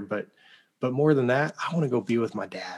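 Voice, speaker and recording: A man with a slight Oklahoma accent speaks at a fairly quick pace in a medium-pitched voice with ordinary pitch variation, on a very clean recording with a silent background. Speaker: founder of a fathers' ministry. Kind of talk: interview. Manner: animated.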